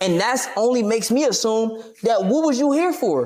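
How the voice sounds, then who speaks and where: Lively intonation amid noticeable background noise. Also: man. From Maryland, PG County. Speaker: streamer and boxer. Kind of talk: interview.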